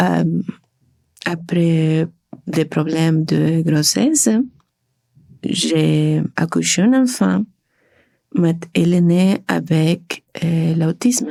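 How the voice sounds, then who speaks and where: A woman with a Spanish accent speaks very slowly, her fairly low voice dark and mellow in tone. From Argentina. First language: Spanish (speaking French). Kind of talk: testimony. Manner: halting, many hesitations.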